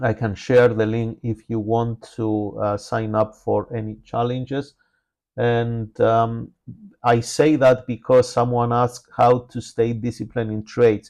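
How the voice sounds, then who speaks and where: Against a quiet background, a man with a non-native accent speaks at a medium pitch and fairly slow pace. His intonation is monotone and flat. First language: not English. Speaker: trading educator. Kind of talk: live trading webinar. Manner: frequent filler hesitations.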